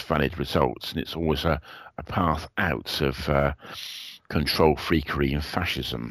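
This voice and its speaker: A man with a very deep, low pitch and vocal fry speaks at a moderate pace with fairly even intonation. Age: 50s. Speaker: aspiring novelist. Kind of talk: casual chat.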